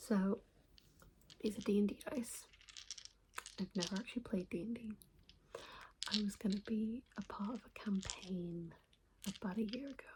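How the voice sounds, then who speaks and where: The voice is soft-spoken, with fairly even intonation and a moderate pace. Long, frequent pauses break it up over noticeable background noise. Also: woman, medium pitch for a woman. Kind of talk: ASMR soft-spoken trigger video.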